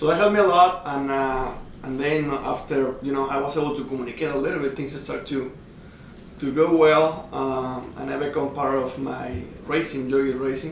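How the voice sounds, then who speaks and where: With a Spanish accent, a man speaks in a fairly high pitch and fairly even intonation, with noticeable background noise and audible room echo. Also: moderate pace. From Mexico. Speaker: racing driver. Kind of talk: casual interview chat. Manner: halting.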